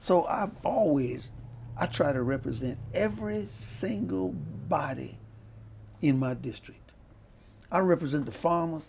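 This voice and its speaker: With an audible room echo, a man talks at a fairly slow pace and medium pitch, using lively intonation and long, frequent pauses. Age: 80s+. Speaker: state senator and lawyer. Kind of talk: interview.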